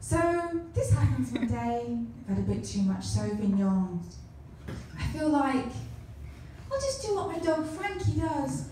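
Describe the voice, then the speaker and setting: In a room with strong echo and light background noise, a woman speaks nervously at a fairly slow pace, with long, frequent pauses. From England. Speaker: comedian. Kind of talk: first-time stand-up set: crude self-deprecating anecdotes told to a club audience. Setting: stage with audience, holding a microphone. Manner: nervous, self-mocking delivery, laughing at her own jokes; chatty, rambling storyteller with fillers and crowd questions. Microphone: camera far.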